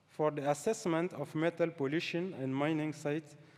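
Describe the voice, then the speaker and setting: A man with a non-native accent at a fairly slow pace. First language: French. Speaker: scientist. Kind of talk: lecture. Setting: stage with audience. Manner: halting.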